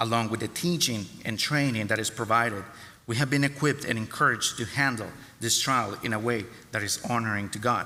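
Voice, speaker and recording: A man with a medium pitch delivers his words at a fairly quick pace, his intonation fairly even. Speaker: church member. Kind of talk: testimony.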